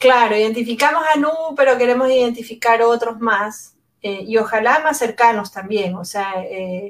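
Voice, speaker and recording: A woman speaks at a fairly slow pace. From Ecuador, Guayaquil. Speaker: anthropologist and education innovator. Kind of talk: interview conversation.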